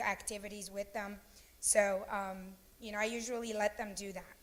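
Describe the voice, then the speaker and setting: At a moderate pace, a woman speaks in a medium pitch with monotone, flat intonation. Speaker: elementary school teacher. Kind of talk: career day talk. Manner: loud; hesitant, many fillers.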